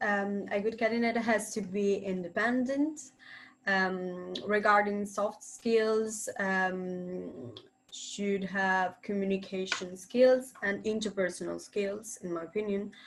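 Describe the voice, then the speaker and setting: With an Italian accent, a woman at medium pitch speaks very slowly and with fairly even intonation. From Italy. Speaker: university student, former intern. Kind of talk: webinar panel discussion. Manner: halting, many filler sounds.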